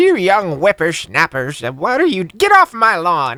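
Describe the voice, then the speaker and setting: In a put-on character voice at middle pitch, the speaker talks at a fairly slow pace. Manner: grumpy.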